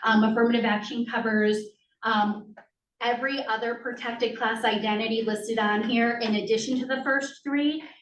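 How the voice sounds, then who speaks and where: A woman talks at a fairly high pitch in a monotone, flat intonation. Her loudness stays very even, and there is audible room echo. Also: moderate pace. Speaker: school district compliance administrator. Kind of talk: presentation to school board. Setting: school committee meeting in library. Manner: many filler ums.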